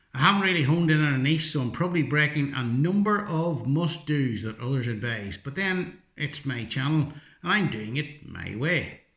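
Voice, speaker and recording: Fairly high for a man, this voice has a bright, sharp tone and a Northern Irish accent. He speaks at a fairly slow pace with lively intonation. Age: 60s. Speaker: teacher and YouTuber. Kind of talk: vlog monologue.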